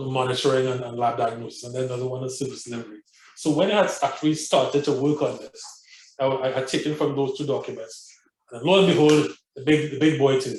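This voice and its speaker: With fairly even intonation, a man speaks very fast in a somewhat breathy voice pitched fairly high. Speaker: physician lecturer. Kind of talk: lecture.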